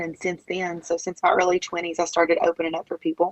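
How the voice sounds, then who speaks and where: A woman with an Appalachian accent and a fairly low pitch. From West Virginia, Logan County. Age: 30s. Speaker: country singer. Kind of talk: interview.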